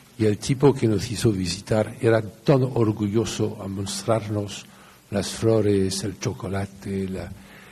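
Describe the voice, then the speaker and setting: In a room with audible echo, a man with a fairly low pitch speaks very slowly and with fairly even intonation. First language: French (speaking Spanish). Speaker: lawyer. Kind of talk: lecture.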